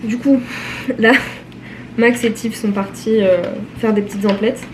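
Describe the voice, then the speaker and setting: A woman's fairly even intonation and fairly quick pace come through noticeable background noise. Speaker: vlogger. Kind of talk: vlog.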